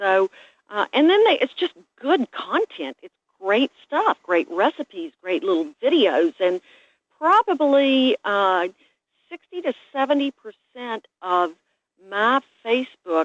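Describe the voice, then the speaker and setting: Her pace is very slow, with very wide pitch swings. The woman's voice sits high in pitch. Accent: Southern US. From West Virginia, raised in the hollers. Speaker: chef and food blogger. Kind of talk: interview answer.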